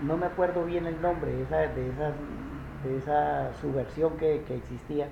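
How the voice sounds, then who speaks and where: The room echo is audible and the background noise noticeable as a man speaks at a moderate pace. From rural Colombia. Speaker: interviewee recalling the armed conflict. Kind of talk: interview. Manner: halting, many fillers and repetitions.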